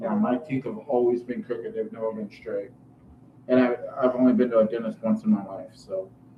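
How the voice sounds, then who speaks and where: A man talks fairly quickly while noticeable background noise runs underneath. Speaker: channel co-host. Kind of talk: casual chat. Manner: halting, repeats words.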